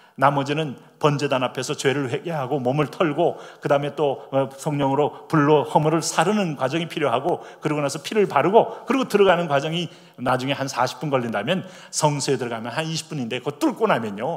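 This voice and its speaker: At a fairly quick pace, a man talks in a fairly high voice over noticeable background noise. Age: 60s. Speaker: pastor. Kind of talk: sermon.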